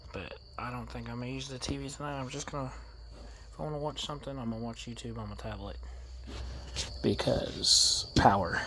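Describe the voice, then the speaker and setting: A man with an American accent speaks quietly, with long, frequent pauses and audible room echo. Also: fairly quick pace. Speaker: mobile DJ and vlogger. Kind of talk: casual vlog narration. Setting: outdoors at night, camping trailer by a lake. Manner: quiet, hushed.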